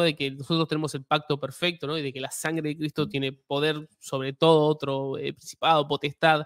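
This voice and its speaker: A man with a Rioplatense accent speaks at a fairly high pitch, with fairly even intonation. The sound is dry with no echo, over a quiet background. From Argentina or Uruguay. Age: 20s. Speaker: YouTube host. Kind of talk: live interview. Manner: halting, many fillers. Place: home room. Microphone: studio mic.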